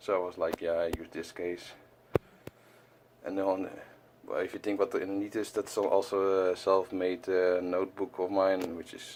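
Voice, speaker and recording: Very deep and low, a man's voice holds a monotone, flat intonation. He keeps a moderate pace with long, frequent pauses. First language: not English. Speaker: collector vlogger. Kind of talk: casual chat. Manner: halting, many fillers.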